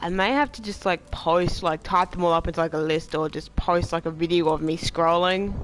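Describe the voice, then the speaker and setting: With music in the background, the talking runs at a fairly quick pace. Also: hardly any pauses. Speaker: game streamer. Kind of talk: casual chat. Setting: live stream.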